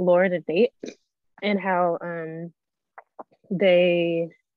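This woman's voice sits at a fairly low pitch, and her intonation is monotone and flat. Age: 20s. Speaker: podcast co-host and student. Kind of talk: casual chat. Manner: hesitant, many fillers.

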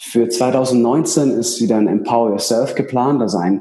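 A man's unremarkable speaking voice at a medium pitch, fairly slow, with ordinary pitch variation. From Bavaria, Ingolstadt. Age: 30s. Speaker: coach and seminar speaker. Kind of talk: interview.

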